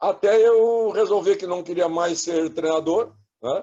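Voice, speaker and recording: The voice has a dark, mellow tone and swings very widely in pitch. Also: man. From Rio Grande do Sul, Brazil. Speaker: former football coach and pundit. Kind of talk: casual interview.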